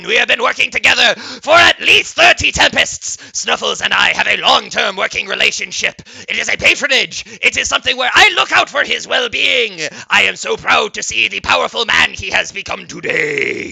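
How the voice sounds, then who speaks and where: At a moderate pace, a man puts on a character voice. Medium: actual play. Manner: theatrical, grandiose, drawn-out hmms.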